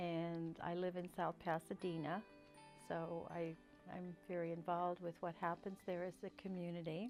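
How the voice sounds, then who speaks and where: A fairly low-pitched woman with an American accent, speaking slowly in a monotone, flat delivery, with music in the background. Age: 60s. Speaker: retired teacher, counselor and school psychologist. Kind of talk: interview answer, personal testimonial.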